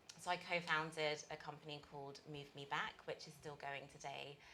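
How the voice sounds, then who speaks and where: In a British accent, a woman talks at a moderate pace with a very deep, low pitch. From UK. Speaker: accelerator managing director. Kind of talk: interview.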